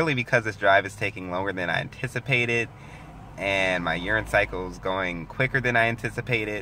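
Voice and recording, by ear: A man's fairly low, bright and sharp voice at a fairly quick pace, with ordinary pitch variation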